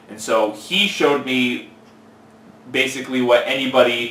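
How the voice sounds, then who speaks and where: Spoken in an American accent, the clip has audible room echo and noticeable background noise. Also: man. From California, Central Valley. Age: 20s. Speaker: fitness trainer. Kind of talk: interview.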